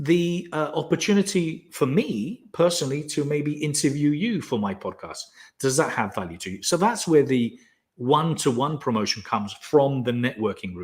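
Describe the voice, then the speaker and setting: Somewhat breathy and fairly high, a man's voice moves at a moderate pace with very wide pitch swings. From Spain. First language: Spanish. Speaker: business coach and founder. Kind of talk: live webinar Q&A.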